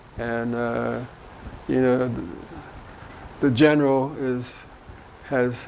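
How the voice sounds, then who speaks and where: A man speaks at a fairly slow pace in a medium pitch with flat, monotone intonation, with audible room echo and noticeable background noise. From North Philadelphia. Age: 70s. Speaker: community volunteer. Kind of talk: interview.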